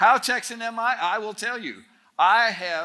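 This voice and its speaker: A man uses a raised, projected voice with a bright, sharp tone and very wide pitch swings. He goes at a fairly slow pace in a very clean recording with a silent background. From Northern Ontario, Canada. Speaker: speaker at a student camp. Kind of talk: talk to a student audience. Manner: conversational, humorous storytelling.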